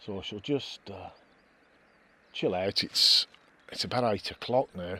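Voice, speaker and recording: A man speaks at a fairly slow pace. His loudness swings widely. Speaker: wild camping vlogger. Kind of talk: outdoor vlog narration. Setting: outdoors. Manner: casual, hesitant.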